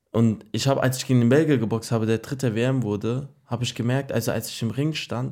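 A man's dark, mellow voice at medium pitch, fairly quick in pace, on a very clean recording with a silent background. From Germany, Frankfurt. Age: 20s. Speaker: boxer. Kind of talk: interview.

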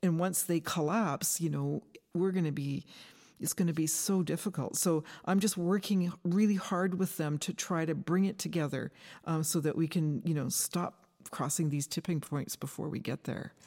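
At a moderate pace, the voice has a dark, mellow tone on a very clean recording with a silent background. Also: woman, fairly low pitch for a woman, fairly even intonation. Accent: Western Canadian. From Canada, British Columbia. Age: 60s. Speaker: forest ecology professor. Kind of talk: interview. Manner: halting, with repetitions.

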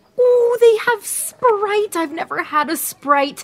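Using a put-on character voice, a woman speaks slowly at an extremely high pitch with lively intonation.

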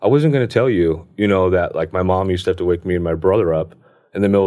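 A very fast American-accented man with a very deep, low pitch, in a very clean recording with a silent background. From Southern California high desert (Hesperia). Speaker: mechanic in addiction recovery. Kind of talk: recovery story interview. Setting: podcast booth. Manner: halting, many false starts.

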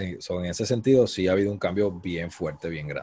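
This man has a very deep, low voice with ordinary pitch variation. He speaks at a moderate pace on a very clean recording with a silent background. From Puerto Rico, Cabo Rojo. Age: 30s. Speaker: event producer. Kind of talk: interview.

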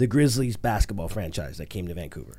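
Vocal fry runs through the man's voice. The swings in his pitch are very wide. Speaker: actor and stand-up comedian. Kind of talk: interview.

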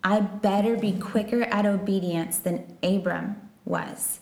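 In an American accent, a woman speaks at a medium pitch, with audible room echo and noticeable background noise. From Texas. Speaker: missionary. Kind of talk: interview.

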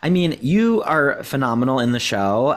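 A plain, everyday voice with an American accent and lively intonation moves at a moderate pace on a very clean recording with a silent background. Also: man. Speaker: podcast co-host. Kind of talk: casual interview. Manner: excitable.

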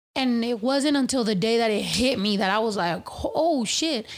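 A woman's animated voice at a high pitch. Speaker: podcast host. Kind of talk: casual chat.

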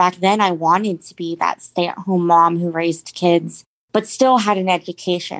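A plain, everyday voice with an American accent and fairly even intonation. Its loudness swings widely from moment to moment. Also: woman, fairly low pitch for a woman, moderate pace. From Jacksonville, Florida. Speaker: domestic abuse survivor. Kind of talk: interview testimony.

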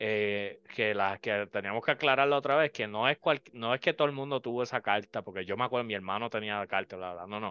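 A man speaks at a very fast pace with hardly any pauses. His fairly low voice shows ordinary pitch variation. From Puerto Rico. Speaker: podcast host. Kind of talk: casual chat.

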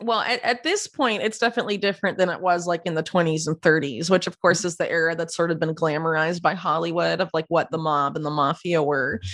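Speaking at a very fast pace, a woman with an American accent talks in a fairly low pitch. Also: ordinary pitch variation. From US, Florida. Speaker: investigative journalist. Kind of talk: interview. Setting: video call.

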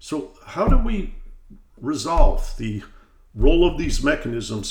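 Audible room echo surrounds a man's voice. He talks at a fairly slow pace with an American accent. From US Midwest, Detroit. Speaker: podcast host, economics institute president. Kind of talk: interview.

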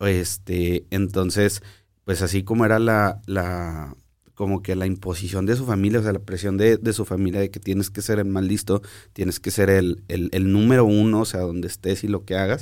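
On a very clean recording with a silent background, a man speaks in a fairly low pitch with monotone, flat intonation. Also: moderate pace. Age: 30s. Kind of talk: casual chat. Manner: halting.

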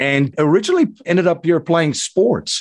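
On a very clean recording with a silent background, a man with a South African accent speaks at a moderate pace with ordinary pitch variation. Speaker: investor and podcast host. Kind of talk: interview.

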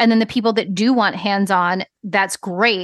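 A woman with an American accent uses a normal speaking voice at a medium pitch and a moderate pace, with ordinary pitch variation. The sound is dry and close with no echo, and the background is quiet. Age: 40s. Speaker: business coach. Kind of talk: casual chat.

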